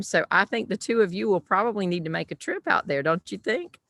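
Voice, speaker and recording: A woman with a South Carolina accent speaks at a medium pitch with ordinary pitch variation, in a dry, close sound with no echo. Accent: Southern US, South Carolina. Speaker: podcast host. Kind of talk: casual chat. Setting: call from her backyard.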